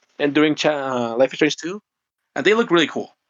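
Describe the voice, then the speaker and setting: This is a man speaking. He has a Spanish accent. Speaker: indie game developer. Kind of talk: interview.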